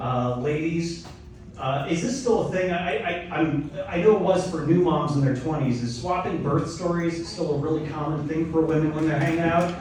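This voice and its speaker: With an American accent, a man speaks at a moderate pace and fairly high pitch, with ordinary pitch variation, over noticeable background noise and audible room echo. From US Midwest, Elkhart, Indiana. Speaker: comedian. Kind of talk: stand-up. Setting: stage with audience.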